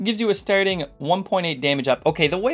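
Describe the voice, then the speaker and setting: A man talks at a very fast pace with very wide pitch swings while music plays in the background. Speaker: gaming let's play youtuber. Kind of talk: let's play gameplay commentary. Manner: fast, tripping over words; casual, hesitant with fillers.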